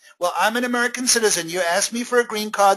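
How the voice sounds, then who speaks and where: A man's high-pitched voice with a non-native accent, very fast pace and ordinary pitch variation. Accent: noticeable non-native. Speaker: seminar speaker on employment compliance.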